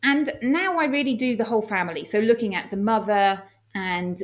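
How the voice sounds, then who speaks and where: Speaking with an English accent, a woman has a fairly high pitch and ordinary pitch variation. Her pace is fairly quick. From England. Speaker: doctor and health coach. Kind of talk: podcast interview.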